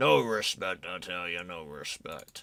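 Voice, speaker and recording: In a raspy, put-on character voice, the speaker moves at a fairly slow pace with ordinary pitch variation. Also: man. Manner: grumpy, complaining.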